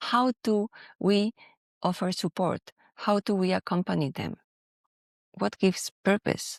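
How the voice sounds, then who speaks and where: The speaker has a Spanish accent. The recording is very clean and dry, close and echo-free, over a silent background. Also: woman. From Spain. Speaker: podcast host and professional coach. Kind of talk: podcast monologue.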